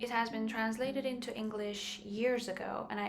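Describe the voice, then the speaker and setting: The speaker keeps a moderate pace. Audible room echo and noticeable background noise surround the voice. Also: woman. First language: Persian. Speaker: book vlogger. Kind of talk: casual chat.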